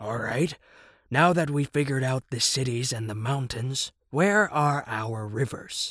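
A man uses a put-on character voice at a medium pitch, talking at a moderate pace on a very clean recording with a silent background. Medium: read story. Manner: questioning, skeptical.

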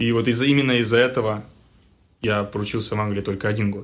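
Flat and monotone, a man speaks at a fairly quick pace with a fairly low pitch. The recording is very clean, with a silent background. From Russia, Tyumen. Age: 20s. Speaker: engineer. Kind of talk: casual chat.

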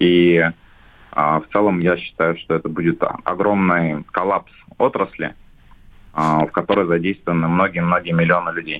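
Speaking at a moderate pace, a man with a very deep, low pitch keeps a monotone, flat delivery broken by long, frequent pauses. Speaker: shopping centre association head. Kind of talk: business interview. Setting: phone call.

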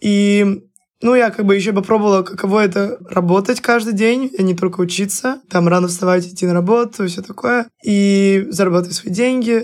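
A woman talks at a fairly quick pace in an ordinary speaking voice, her medium pitch carried on fairly even intonation. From Russia, Saint Petersburg. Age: 20s. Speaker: university student. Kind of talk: casual chat.

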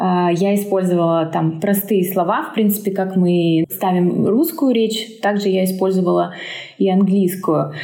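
The speech moves at a fairly slow pace with very even loudness, set against noticeable background noise and audible room echo. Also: woman, medium pitch for a woman, ordinary pitch variation. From Siberia, Omsk. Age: 30s. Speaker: English teacher and mother. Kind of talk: casual interview.

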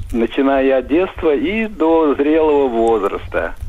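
Through noticeable background noise, a man speaks very slowly at a fairly high pitch with lively intonation. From Russia, Moscow region. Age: old. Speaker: caller. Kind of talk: casual phone chat.

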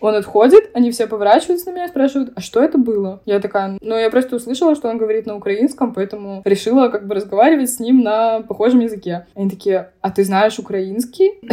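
Talking at a very fast pace with hardly any pauses, a woman uses a fairly high pitch and ordinary pitch variation. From Belarus, Minsk. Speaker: university student. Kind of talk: casual interview.

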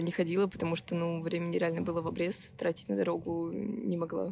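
A woman with a normal speaking voice and fairly low pitch talks at a fairly quick pace with very even loudness and hardly any pauses. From Russia, Nizhny Novgorod. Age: 18. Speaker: first-year university student. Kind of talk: casual interview.

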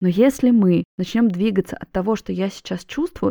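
A woman speaks at a medium pitch and a moderate pace, with ordinary pitch variation. Her warm, calm tone is also dark and mellow, heard in a dry, close sound with no echo. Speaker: psychologist and podcast host. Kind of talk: solo podcast monologue.

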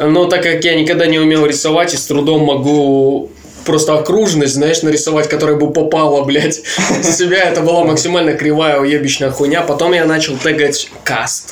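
A man talks at a moderate pace with monotone, flat intonation and very even loudness. Audible room echo and noticeable background noise fill the recording. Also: fairly high pitch for a man. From Leningrad Oblast, Russia. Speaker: podcast co-host. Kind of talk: casual chat.

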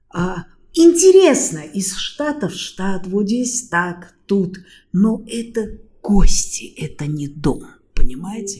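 Her voice sits at a medium pitch with a dark, mellow tone, somewhat breathy, moving at a very slow pace with lively intonation. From Austria. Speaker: university lecturer and interpreter. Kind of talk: interview. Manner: animated.

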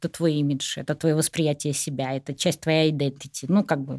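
Delivered at a moderate pace, the voice has a dry, close sound with no echo in a very clean recording with a silent background. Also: woman. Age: 60s. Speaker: psychologist and business consultant. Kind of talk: casual chat.

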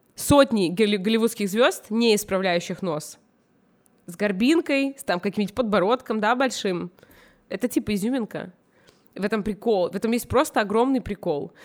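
A woman with a fairly high pitch speaks in an animated tone at a moderate pace, her intonation lively and broken by long, frequent pauses, in a very clean recording with a silent background. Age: 20s. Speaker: fashion stylist. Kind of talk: casual chat.

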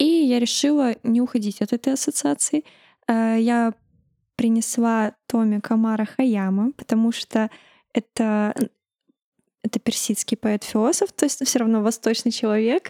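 Soft-spoken and dark, mellow in tone, a woman with a fairly high pitch talks at a fairly slow pace with long, frequent pauses and very even loudness, the sound dry and close with no echo. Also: ordinary pitch variation, very clean recording, silent background. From Uzbekistan, Tashkent. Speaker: press service head. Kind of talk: interview.

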